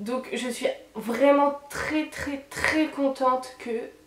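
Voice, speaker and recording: Against noticeable background noise, a woman speaks in a high voice with fairly even intonation. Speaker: beauty youtuber. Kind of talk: product review. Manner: stammering.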